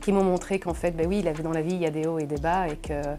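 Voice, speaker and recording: A woman with a fairly low pitch and a dark, mellow tone speaks at a fairly quick pace with vocal fry. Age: 40s. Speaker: finance director. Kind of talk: interview. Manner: hesitant, many fillers.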